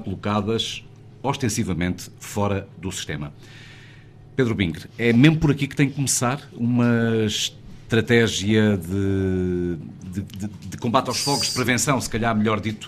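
This is an unremarkable speaking voice from a man at a medium pitch. He goes at a fairly slow pace with ordinary pitch variation. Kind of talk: live radio broadcast discussion. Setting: on location in a wine cellar.

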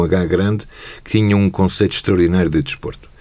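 A man's very deep, low voice at a very fast pace, with noticeable background noise. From Portugal, Lisbon. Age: 60s. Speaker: retired judge and football club figure. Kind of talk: interview.

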